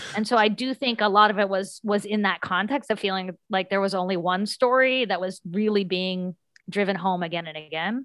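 With an American accent, a woman in an unremarkable speaking voice talks at a fairly quick pace and medium pitch, with ordinary pitch variation and hardly any pauses. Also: dry, close sound with no echo. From US South, southern West Virginia. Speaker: author and middle school teacher. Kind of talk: interview.

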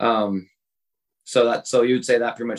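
This is a plain, everyday voice. A man talks at a moderate pace and a medium pitch. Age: 30s. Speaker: podcast co-host friend. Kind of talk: casual chat.

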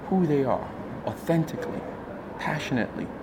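Someone with an American accent speaks at a fairly quick pace. There is audible room echo and noticeable background noise. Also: man. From US, Nigerian American. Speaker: founder and CEO of an awards organization. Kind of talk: interview. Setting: studio.

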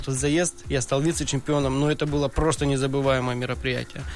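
Noticeable background noise runs behind a man's voice. His pitch is fairly high, and his intonation is monotone and flat. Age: 30s. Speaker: professional drift racer. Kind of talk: podcast interview. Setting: studio.

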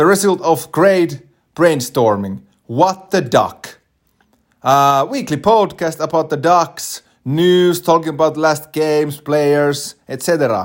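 A man speaks very slowly, his intonation lively throughout. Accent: Finnish. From Finland. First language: Finnish. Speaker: podcast host. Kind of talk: podcast introduction monologue. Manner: halting, many filler words.

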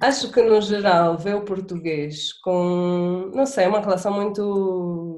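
Over noticeable background noise, a woman speaks at a very slow pace with hardly any pauses and ordinary pitch variation. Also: medium pitch for a woman. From Angola. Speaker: guest. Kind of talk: casual chat.

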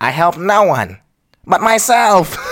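A man's put-on character voice, raspy and high in pitch. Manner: cackling, menacing.

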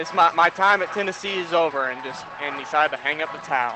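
Over noticeable background noise, a man with a high voice talks at a very fast pace. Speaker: college student intern. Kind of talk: casual pregame chat.

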